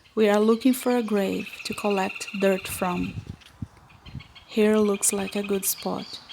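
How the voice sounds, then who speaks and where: A woman in a Portuguese accent, medium-pitched and monotone with flat intonation, at a very slow pace over noticeable background noise. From Brazil. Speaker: witch and occultist. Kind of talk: vlog voice-over narration.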